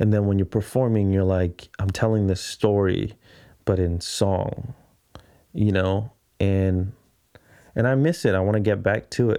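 In a very clean recording with a silent background, a man speaks at a fairly slow pace with long, frequent pauses. His fairly low voice has a dark, mellow tone, fairly even intonation and very even loudness. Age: 30s. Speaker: podcast host and videographer. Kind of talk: solo casual monologue. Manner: rambling, halting.

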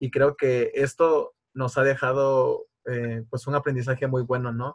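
Somewhat breathy, a man speaks at a medium pitch. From Tabasco, Mexico. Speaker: university student interviewer. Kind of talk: interview.

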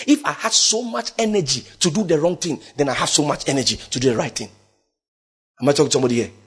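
Somewhat breathy, a man talks at a fairly high pitch with very wide pitch swings. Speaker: preacher. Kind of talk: sermon. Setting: church.

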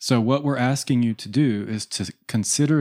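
A man with an ordinary speaking voice talks at a moderate pace with ordinary pitch variation, on a very clean recording with a silent background and a dry, close sound with no echo. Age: 40s. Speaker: spiritual podcast co-host. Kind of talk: spiritual discussion. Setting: studio.

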